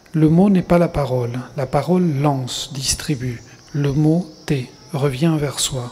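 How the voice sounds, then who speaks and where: Noticeable background noise runs under the clip. The man speaking has a fairly high voice. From Argentina, Buenos Aires. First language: Spanish (speaking French). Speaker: writer. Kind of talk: reading aloud. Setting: stage with audience.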